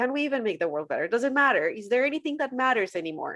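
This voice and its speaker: A woman with a Spanish accent and a high pitch talks at a very fast pace, her pitch swinging very widely. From Colombia. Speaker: former church worker turned social media commentator on faith. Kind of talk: podcast interview.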